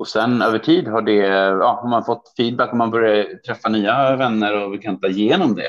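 This is a normal speaking voice from a man at medium pitch. His pitch variation is ordinary. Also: moderate pace. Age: 30s. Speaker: trade promotion officer. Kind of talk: interview.

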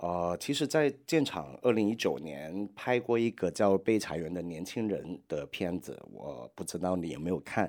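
A man with a Hong Kong accent speaks in a very deep, low pitch, his pitch swinging very widely at a fairly slow pace with hardly any pauses. The recording is very clean, with a silent background. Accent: Hong Kong-accented Mandarin. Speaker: podcast host and documentary studio head. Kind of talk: advice podcast reading and replying to letters. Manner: hesitant with many fillers.

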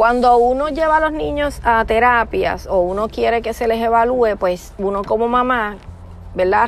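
A woman speaks at a moderate pace in a fairly high pitch with a Puerto Rican accent. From Puerto Rico. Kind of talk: personal testimony monologue.

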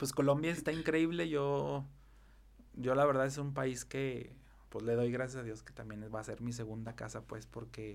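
With fairly even intonation, a man talks in a space with audible room echo. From Mexico, Zacatecas. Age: 30s. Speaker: event planner. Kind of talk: casual interview chat.

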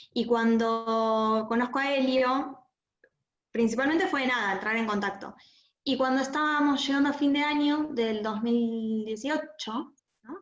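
A woman with a high voice speaks at a fairly slow pace with ordinary pitch variation. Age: 20s. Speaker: relative of a terror attack victim. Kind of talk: testimony. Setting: video call.

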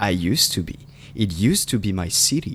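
A man with a French accent, lively intonation and a moderate pace. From France. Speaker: podcast co-host. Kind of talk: casual chat. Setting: video call. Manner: animated.

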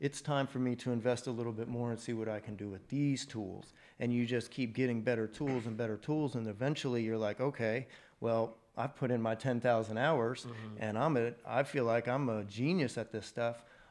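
A man with an American accent and a normal speaking voice, medium in pitch, fairly even in intonation, at a moderate pace with hardly any pauses, against a quiet background. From Texas, Mansfield near Fort Worth. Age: 30s. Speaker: roofing contractor. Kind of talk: casual interview chat.

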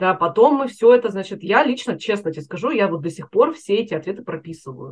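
Very fast and somewhat breathy, a woman at medium pitch speaks with very wide pitch swings and big swings in loudness. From Russia, Chelyabinsk. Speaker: career coach. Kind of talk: interview.

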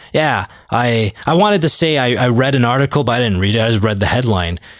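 Speaking with a Canadian accent, a man uses lively intonation at a medium pitch. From Canada, Toronto. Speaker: sports podcast host. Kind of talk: casual solo monologue. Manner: animated.

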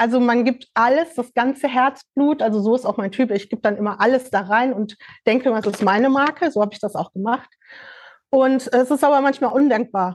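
Speaking at a fairly quick pace, a woman with a normal speaking voice uses ordinary pitch variation at a fairly high pitch. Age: 50s. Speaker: fashion label founder. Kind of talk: casual chat.

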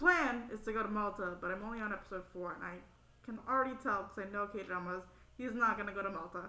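A woman at a medium pitch speaks very fast in an animated tone, with ordinary pitch variation, big swings in loudness and noticeable background noise. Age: 20s. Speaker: youth program participant. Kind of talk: casual chat.

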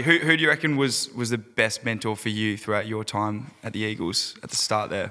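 Speaking in an Australian accent, a man with a bright, sharp tone talks at a moderate pace with ordinary pitch variation. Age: 20s. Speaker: podcast host and fitness coach. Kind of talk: casual interview.

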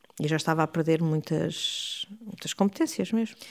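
Dark, mellow female voice at a moderate pace, on a very clean recording with a silent background. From Portugal, Porto. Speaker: family caregiver. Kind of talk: interview testimony.

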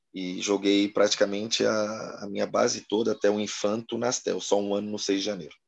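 A man's fairly low, monotone voice with flat intonation and hardly any pauses. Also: moderate pace. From Florianópolis, Santa Catarina, Brazil. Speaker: former futsal player. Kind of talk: interview.

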